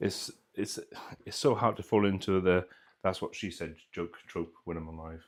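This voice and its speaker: With a Welsh accent, a man speaks at a moderate pace in a very deep, low voice, his intonation fairly even but his loudness swinging widely. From Wales. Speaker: RC hobby livestream host. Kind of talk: casual chat. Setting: live stream.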